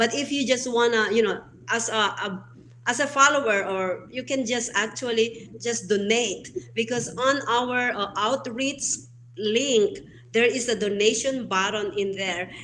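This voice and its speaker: With a non-native accent, a woman speaks at a fairly slow pace, her fairly high voice bright and sharp in tone. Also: ordinary pitch variation. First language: not English. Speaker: founder of online show platform, show host. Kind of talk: interview conversation. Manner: hesitant, many fillers.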